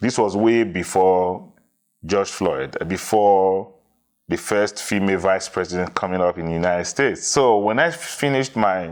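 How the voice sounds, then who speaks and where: In a Nigerian accent, a man talks at a moderate pace with ordinary pitch variation. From Nigeria, Edo (midwestern). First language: Edo. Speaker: diversity consultant. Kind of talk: interview.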